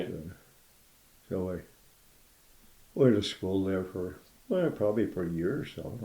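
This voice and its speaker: With an American accent, a man talks at a very deep, low pitch with ordinary pitch variation and long, frequent pauses. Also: fairly slow pace. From County Kerry, Ireland. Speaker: Korean War veteran. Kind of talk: oral history interview answer. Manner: casual, reminiscing.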